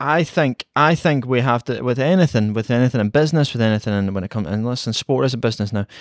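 A man with a Scottish accent at medium pitch, ordinary pitch variation, a very fast pace and hardly any pauses, on a very clean recording with a silent background and a dry, close sound with no echo. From Scotland. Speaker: football podcast referee/moderator. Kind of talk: casual chat.

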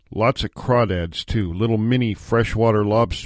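Someone reads aloud plainly. Nothing more is added to the reading.

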